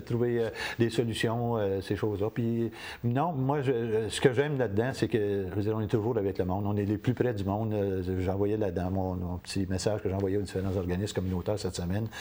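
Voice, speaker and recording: Speaking at a fairly quick pace, a man has a fairly low pitch and a dark, mellow tone. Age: 60s. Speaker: community TV station director. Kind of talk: interview. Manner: halting.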